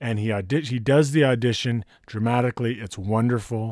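At a moderate pace and medium pitch, a man speaks on a very clean recording with a silent background. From US West Coast, Santa Barbara, California. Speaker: writer-director. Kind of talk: casual chat.

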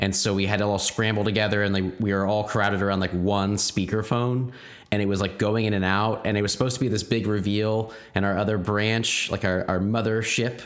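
A man with an American accent speaks at a fairly low pitch in a flat, monotone way. His loudness stays very even, and there is noticeable background noise. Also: fairly quick pace. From Oklahoma, Broken Arrow (Tulsa area). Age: 30s. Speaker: podcast co-host. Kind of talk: casual chat.

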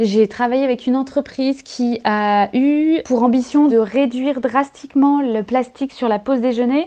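Pitched high for a woman, her dark, mellow voice runs at a moderate pace with fairly even intonation and hardly any pauses. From rural France. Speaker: environmental activist and founder. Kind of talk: radio interview. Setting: phone or remote line.

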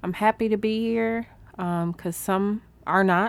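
The recording is very clean, with a silent background. Pitch varies in an ordinary way. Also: woman. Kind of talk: casual chat.

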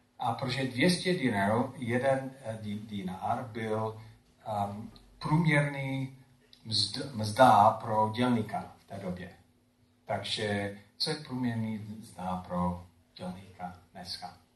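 The man's voice sits at a medium pitch with ordinary pitch variation and a very slow pace. Audible room echo surrounds it. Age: old. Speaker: pastor. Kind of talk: sermon. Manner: halting.

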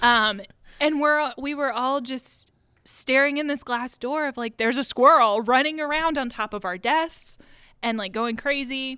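A woman with a US Midwestern accent uses a raised, projected voice at a high pitch with a bright, sharp tone, ordinary pitch variation, and a moderate pace, on a very clean recording with a silent background. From Ohio, US Midwest (Westerville). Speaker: former photo store employee. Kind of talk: casual chat.

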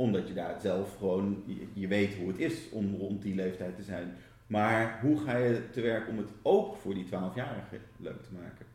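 A man speaks at a fairly slow pace with hardly any pauses, his voice fairly low and somewhat breathy. Audible room echo surrounds him. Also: ordinary pitch variation. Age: 40s. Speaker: interviewer. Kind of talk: interview. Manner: halting.

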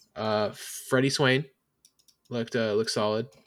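A man speaks at a medium pitch. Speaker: sports podcast host. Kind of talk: casual chat. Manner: animated, talks with hands.

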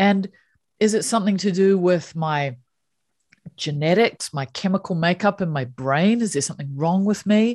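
A woman with a New Zealand accent, medium pitch, lively intonation and a moderate pace, over a quiet background. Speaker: happiness coach. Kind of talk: interview conversation.

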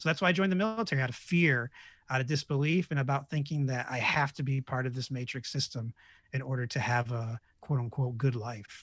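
At a very fast pace, a man speaks with an American accent in a medium pitch. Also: ordinary pitch variation. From New York State. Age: 30s. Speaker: podcaster and meditation leader. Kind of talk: casual chat.

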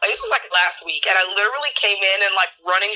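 Noticeable background noise surrounds a woman talking at a moderate pace. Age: 20s. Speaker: podcast guest. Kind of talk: casual chat.

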